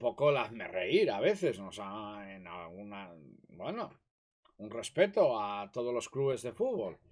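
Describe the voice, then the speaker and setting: The speaker is a man with a fairly slow delivery. His volume rises and falls in big swings. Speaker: host's father. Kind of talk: casual chat. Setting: live stream.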